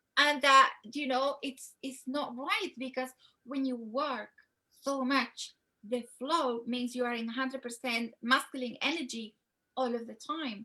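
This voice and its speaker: At a fairly slow pace, a woman with a high pitch uses a raised, projected voice, a bright, sharp tone and fairly even intonation. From Spain. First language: Spanish. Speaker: love coach. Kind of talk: interview.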